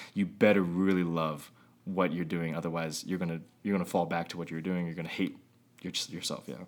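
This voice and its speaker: In a very clean recording with a silent background, a man with a very deep, low pitch speaks at a fairly quick pace with fairly even intonation and a West Coast US accent. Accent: General American (West Coast). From Northern California (East Bay). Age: 30s. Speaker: YouTube filmmaker and media company founder. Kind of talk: casual interview.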